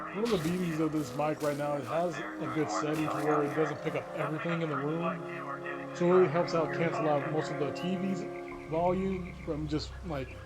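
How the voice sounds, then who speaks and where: Over music in the background and with audible room echo, a man talks at a fairly quick pace. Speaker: gaming youtuber. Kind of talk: gameplay commentary. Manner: halting, repetitive. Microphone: new microphone, clearer than headset.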